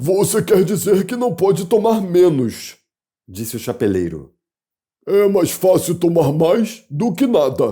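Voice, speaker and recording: Putting on a character voice, a man speaks at a high pitch and a fairly slow pace with lively intonation. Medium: read story.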